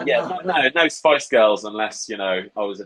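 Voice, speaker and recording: A man with a Norfolk accent, fairly low in pitch, at a moderate pace. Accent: Norfolk, rural English. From England, Norfolk. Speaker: interview guest. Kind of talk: casual interview chat.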